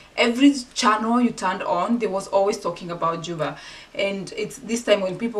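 A woman at a moderate pace with ordinary pitch variation, over light background noise. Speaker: vlogger. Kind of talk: casual vlog chat. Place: home room.

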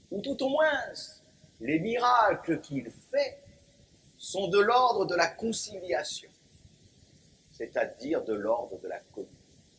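Over noticeable background noise, a man speaks in a solemn tone at a very slow pace, with long, frequent pauses and big swings in loudness. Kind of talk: sermon. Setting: church. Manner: formal, solemn, measured pulpit delivery with rhetorical emphasis; didactic, occasionally wry, rising into a fervent refrain on the repeated cry.

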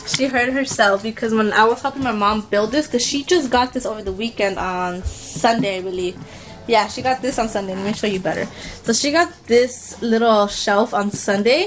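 Music plays in the background. The speech moves at a moderate pace with ordinary pitch variation. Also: woman. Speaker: mother vlogger. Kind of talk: casual vlog chat. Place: home room. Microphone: phone near.

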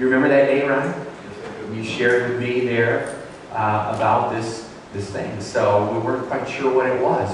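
Strong room echo and noticeable background noise surround a man whose intonation is fairly even. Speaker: pastor hosting testimony. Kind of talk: interview introduction in church service. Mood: warm, earnest. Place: church.

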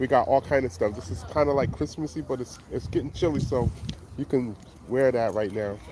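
A man speaks at a moderate pace in an upbeat tone with lively intonation. The sound is dry with no echo, though noticeable background noise comes through. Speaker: flea market seller and rapper. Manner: loud, hyped, upbeat hustler patter with slang, repeated catchphrases; casual, rambling, conversational, self-promoting. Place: market. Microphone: phone near.

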